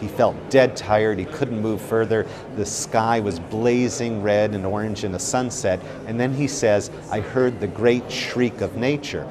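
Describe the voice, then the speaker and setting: A man speaks with fairly even intonation over noticeable background noise. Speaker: art expert. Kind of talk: interview commentary. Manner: hesitant, filler-heavy. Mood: enthusiastic, admiring. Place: hall.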